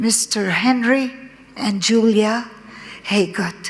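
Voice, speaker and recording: Noticeable background noise and audible room echo surround a woman with an Arabic accent, who speaks at a fairly high pitch with fairly even intonation. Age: 70s. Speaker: conference speaker. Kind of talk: personal testimony. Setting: conference with audience. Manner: halting.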